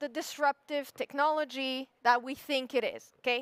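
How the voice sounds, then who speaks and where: The voice is animated and bright, with a sharp tone and a French accent. It moves at a fairly slow pace, with a dry, close sound and no echo. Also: woman. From France. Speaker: SEO expert, conference speaker. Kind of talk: conference talk. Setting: stage with audience.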